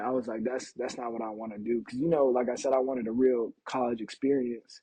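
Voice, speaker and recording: Speaking with an American accent, a man with a plain, everyday voice keeps a fairly quick pace, a medium pitch and fairly even intonation. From Portland, Oregon. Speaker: professional football player. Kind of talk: casual interview. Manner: casual, filler-heavy.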